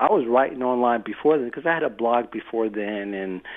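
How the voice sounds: Speaking at a fairly quick pace, a man keeps a medium pitch with ordinary pitch variation.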